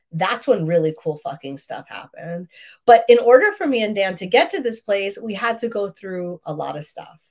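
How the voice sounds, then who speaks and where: This woman's pitch varies in an ordinary way. She speaks at a fairly quick pace. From Queens, New York. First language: Russian. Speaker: relationship coach. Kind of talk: live stream talk. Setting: live video stream.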